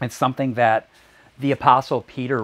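A man with a warm tone and medium pitch. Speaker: preacher. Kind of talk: sermon. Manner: earnest, warm, reflective preaching cadence. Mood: calm, earnest. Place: home room. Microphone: lapel.

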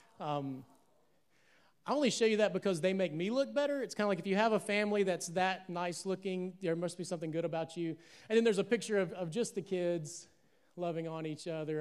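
This man's high voice rises and falls with lively intonation as he talks fairly quickly. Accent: Southern US. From US South, Alabama. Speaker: pastor. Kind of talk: sermon. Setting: church, stage with audience, streamed live. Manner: animated. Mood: warm, joking. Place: church. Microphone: handheld.

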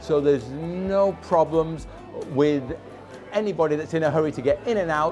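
Clear music plays in the background as a man speaks at a moderate pace with ordinary pitch variation. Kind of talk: interview answer. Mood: proud, friendly promotion. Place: cafe. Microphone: lapel.

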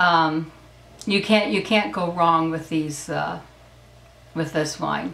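At a very slow pace, a woman speaks with a fairly low pitch and ordinary pitch variation, and room echo can be heard. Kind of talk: casual vlog chat. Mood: upbeat, enthusiastic. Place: home room. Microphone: camera far.

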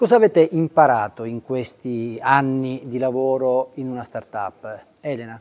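A man with a plain, everyday voice talks at a medium pitch and a fairly slow pace, with hardly any pauses. His pitch variation is ordinary, while his loudness swings a lot. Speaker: interviewer, journalist. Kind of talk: interview. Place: hall. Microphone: lapel.

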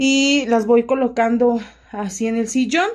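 The voice has a dark, mellow tone and fairly even intonation, moving at a fairly slow pace. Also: woman. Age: 30s. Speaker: home vlogger. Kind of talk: casual vlog chat. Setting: at home. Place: home room. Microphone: phone near.

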